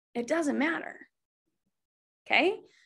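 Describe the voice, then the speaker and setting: A woman speaks in an animated, bright and sharp tone. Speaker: network marketing team leader. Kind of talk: live webinar training. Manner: fast.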